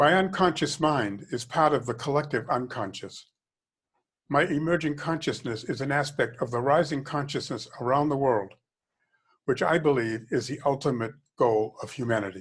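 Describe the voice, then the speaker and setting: At a moderate pace, a man with an American accent and a fairly high pitch speaks in a somewhat breathy voice with ordinary pitch variation, on a very clean recording with a silent background. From Boston, US Northeast. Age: 80s+. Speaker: author and diversity consultant. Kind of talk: reading aloud from own memoir. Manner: reflective, with small stumbles and restarts.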